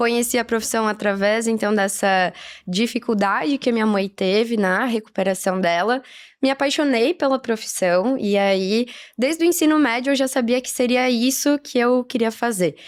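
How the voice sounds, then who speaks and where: Moderate pace and ordinary pitch variation in a very clean recording with a silent background. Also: woman, fairly high pitch for a woman. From southern Brazil, Caxias do Sul, Rio Grande do Sul. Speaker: physiotherapist and marathon runner. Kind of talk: podcast interview.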